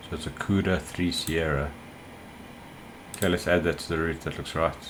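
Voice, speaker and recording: The speaker mumbles at a moderate pace. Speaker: flight sim streamer. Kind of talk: gameplay commentary. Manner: mumbling.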